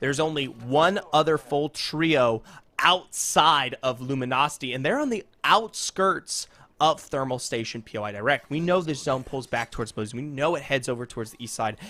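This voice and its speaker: A man talks in a bright, sharp tone. His pace is moderate. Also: fairly high pitch for a man, ordinary pitch variation, very clean recording, silent background. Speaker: esports caster. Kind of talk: live commentary.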